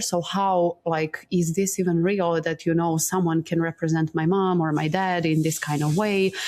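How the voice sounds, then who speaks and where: A woman with a Montenegrin accent speaks at a fairly low pitch in a monotone, flat intonation. Her moderate pace has hardly any pauses, and her loudness stays very even. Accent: Balkan (Montenegrin) accent in English. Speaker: breathwork teacher. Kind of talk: interview, personal story.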